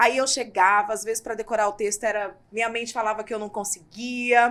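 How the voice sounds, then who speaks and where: Delivered at a fairly quick pace, the speech comes in a very clean recording with a silent background. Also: woman, fairly high pitch for a woman. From Mato Grosso, Brazil. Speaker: psychoanalyst and journalist. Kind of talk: casual interview. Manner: animated.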